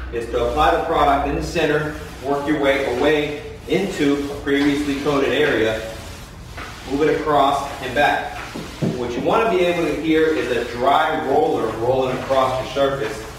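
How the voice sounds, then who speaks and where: A man talks at a moderate pace with fairly even intonation. Strong room echo and light background noise surround his voice. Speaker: floor coating contractor. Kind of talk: tutorial. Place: garage.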